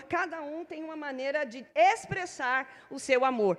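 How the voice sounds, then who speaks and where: Lively intonation carries the words along at a fairly slow pace. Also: woman. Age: 60s. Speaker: preacher and theology teacher. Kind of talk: sermon. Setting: church service.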